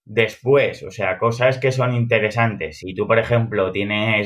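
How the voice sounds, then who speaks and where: A man at a medium pitch, monotone and flat, at a fairly slow pace. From Alcoy, Valencian Community, Spain. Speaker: crypto investor and metaverse builder. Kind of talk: podcast interview.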